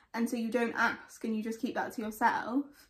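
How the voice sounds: A woman talks at a fairly quick pace with a fairly high pitch and little pitch movement.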